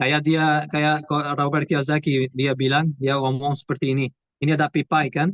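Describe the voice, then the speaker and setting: Speaking with a Portuguese accent, a man uses a fairly high pitch. His intonation is monotone and flat, at a moderate pace. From Portugal. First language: Portuguese (speaking Indonesian). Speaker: property investor. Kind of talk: webinar interview. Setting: video call. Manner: halting.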